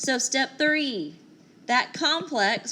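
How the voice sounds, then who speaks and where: The voice is a woman's, loud and fairly slow. Her intonation is lively. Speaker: teacher. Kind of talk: lecture.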